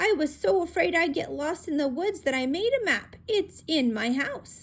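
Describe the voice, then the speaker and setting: The speaker uses a put-on character voice with very wide pitch swings. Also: woman, extremely high pitch for a woman, moderate pace. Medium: read story. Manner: hesitant, stammering, fearful.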